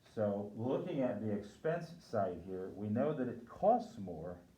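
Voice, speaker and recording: Noticeable background noise sits under audible room echo throughout the clip. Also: man. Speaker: lecturer on sport finance. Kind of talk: lecture.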